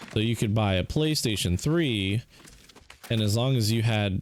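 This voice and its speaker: A man with an unremarkable speaking voice, fairly low pitched, at a moderate pace. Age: 30s. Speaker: gaming streamer. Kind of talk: casual chat.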